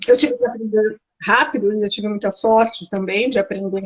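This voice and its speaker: Ordinary pitch variation marks an ordinary speaking voice. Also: woman. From Brazil. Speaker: architect living abroad. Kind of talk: interview.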